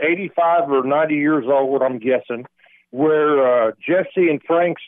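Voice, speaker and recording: A very slow delivery in a Southern US accent. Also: man. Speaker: caller, plant security worker. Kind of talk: casual call-in chat. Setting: phone call.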